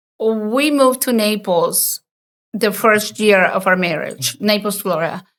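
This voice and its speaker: With a strong Costa Rican accent, a woman speaks at a fairly slow pace and fairly high pitch with ordinary pitch variation, on a very clean recording with a silent background. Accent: heavy Costa Rican Spanish. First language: Spanish. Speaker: entrepreneur and designer. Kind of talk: interview conversation.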